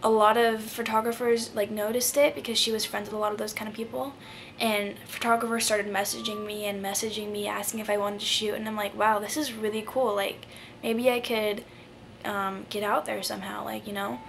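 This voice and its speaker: A woman with a fairly high pitch speaks with fairly even intonation. The recording has audible room echo and noticeable background noise. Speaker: vlogger. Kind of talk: casual Q&A vlog.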